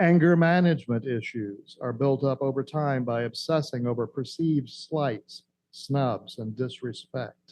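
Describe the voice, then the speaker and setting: At a fairly slow pace with hardly any pauses, a man talks in an unremarkable speaking voice at medium pitch with ordinary pitch variation. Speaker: minister / spiritual teacher giving a Sunday message. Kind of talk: sermon / spiritual talk to a congregation.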